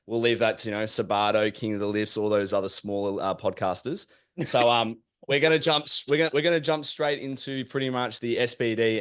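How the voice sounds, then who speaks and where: A man with an Australian accent at a fairly quick pace, ordinary pitch variation, and a quiet background. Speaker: podcast host. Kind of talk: casual chat.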